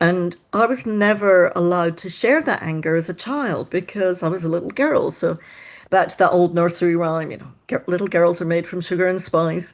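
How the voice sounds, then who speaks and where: With a Scottish accent and a fairly low pitch, a woman speaks with big swings in loudness against a quiet background. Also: ordinary pitch variation, moderate pace. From Scotland. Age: 60s. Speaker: mind-body coach. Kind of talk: podcast interview.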